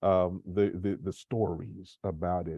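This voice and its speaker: A man speaks in a Memphis accent. His pace is very slow. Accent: US Southern (Memphis). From Memphis, Tennessee. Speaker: nonprofit community manager moderating an author talk. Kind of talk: moderated panel discussion. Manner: halting, many fillers.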